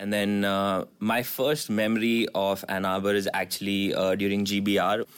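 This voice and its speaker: Delivered at a moderate pace with hardly any pauses, the speech is monotone and flat on a very clean recording with a silent background. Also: man, fairly low pitch for a man, very even loudness. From India. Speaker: business school student. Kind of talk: casual round-table chat.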